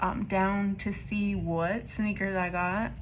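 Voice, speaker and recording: The speaker goes at a very slow pace with ordinary pitch variation, and room echo can be heard. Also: woman. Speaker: budgeting vlogger. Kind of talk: casual vlog chat. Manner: casual, chatty.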